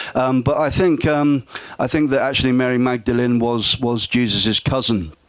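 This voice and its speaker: A man's medium-pitched voice with fairly even intonation over noticeable background noise. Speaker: speaker on esoteric history. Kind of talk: public talk with Q&A. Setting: festival stage with audience. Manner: loud; halting, many fillers and repeats.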